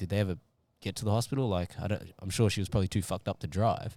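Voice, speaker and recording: A man with an Australian accent speaks at a very fast pace, his pitch fairly low. The recording is very clean, with a silent background. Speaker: podcast host. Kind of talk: casual chat.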